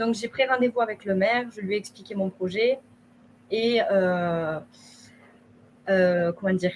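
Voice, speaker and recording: Speaking at a fairly slow pace with long, frequent pauses, a woman keeps a medium pitch and ordinary pitch variation. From southern France, Haute-Garonne. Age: 20s. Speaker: shop owner. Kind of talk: testimony.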